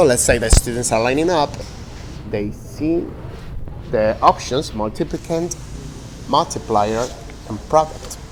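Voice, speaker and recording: Amid noticeable background noise, a man with a medium pitch speaks fairly slowly, using lively intonation and long, frequent pauses. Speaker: teacher. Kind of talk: demo lesson.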